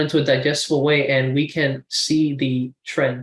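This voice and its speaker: In a normal speaking voice, a man talks at a fairly slow pace. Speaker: student tutor. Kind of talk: tutorial.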